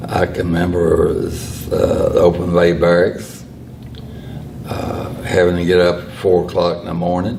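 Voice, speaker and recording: A man with a very deep, low voice and a North Carolina accent talks in a flat monotone with big swings in loudness. Noticeable background noise and audible room echo fill the recording. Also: moderate pace. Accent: Southern US (North Carolina). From US South, Lexington, North Carolina. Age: 80s+. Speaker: retired Air Force veteran. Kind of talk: casual interview.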